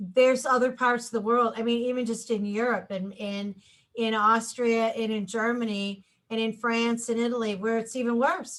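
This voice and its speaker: In an American accent, a woman with an ordinary speaking voice talks at a moderate pace, fairly high in pitch, with fairly even intonation. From US Midwest, Chicago. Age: 60s. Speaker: radio host. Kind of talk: casual chat.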